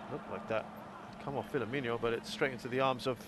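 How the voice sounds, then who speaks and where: Fairly quick and animated, a man speaks in an excited tone. Noticeable background noise runs behind him. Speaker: football commentator. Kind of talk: live sports commentary on a football match, analysing play and goals. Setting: commentary over match footage with replays. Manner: animated, quick-fire play-by-play with excited exclamations at goals; critical, judging the goalkeeper's errors with dry disappointment.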